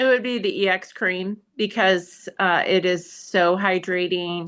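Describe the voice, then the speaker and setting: Very slow speech from a woman with an American accent, medium pitch and ordinary pitch variation, over a quiet background. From Michigan. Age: 50s. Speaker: esthetician. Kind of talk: interview.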